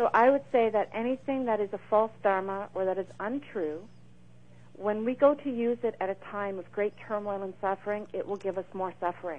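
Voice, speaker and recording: A woman with a normal speaking voice talks at medium pitch and a moderate pace with ordinary pitch variation. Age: 40s. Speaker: medium and author. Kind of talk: interview.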